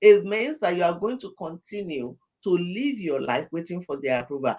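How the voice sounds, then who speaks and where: This woman's voice moves through very wide pitch swings. Her pitch rises and falls dramatically. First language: not English. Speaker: pastor and life coach. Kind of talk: podcast interview. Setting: studio. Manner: animated.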